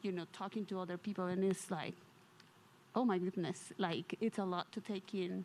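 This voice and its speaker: Speaking with a non-native accent, a woman uses a medium pitch and monotone, flat intonation. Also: moderate pace. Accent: foreign. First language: not English. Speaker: audience member. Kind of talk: testimony.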